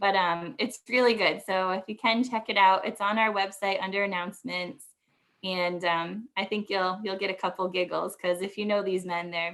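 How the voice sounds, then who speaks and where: Medium-pitched female voice at a moderate pace, with fairly even intonation. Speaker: conservation district staff presenter. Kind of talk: webinar presentation.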